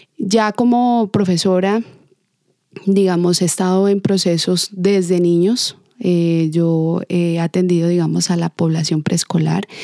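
A woman speaks very slowly in a fairly low, dark and mellow voice with fairly even intonation and very even loudness. The sound is dry and close, with no echo. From southern Colombia, Ipiales (Nariño). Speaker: dance teacher and choreographer. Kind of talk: interview.

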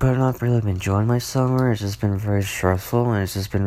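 A soft-spoken, somewhat breathy man with a very deep, low pitch, very wide pitch swings and a fairly quick pace. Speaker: solo podcaster. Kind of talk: casual monologue. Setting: at home at night, others sleeping. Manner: soft-spoken, talking quietly; rambling with many fillers.

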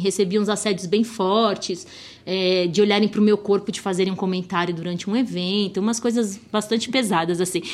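Here a woman has an unremarkable speaking voice. She speaks at a moderate pace with fairly even intonation. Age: 30s. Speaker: TV motoring show producer. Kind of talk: interview.

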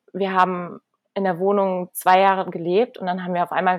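This woman has an unremarkable speaking voice at a medium pitch. She talks at a moderate pace. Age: 30s. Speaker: life coach and breathwork trainer. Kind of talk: casual interview. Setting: video call from Bali. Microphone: unstable internet connection, dropouts.

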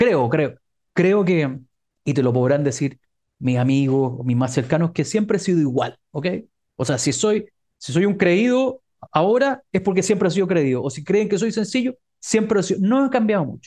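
A man's high-pitched voice with a dark, mellow tone and very wide pitch swings. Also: moderate pace. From Chile, San Bernardo (Santiago). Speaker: negotiation expert. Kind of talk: interview.

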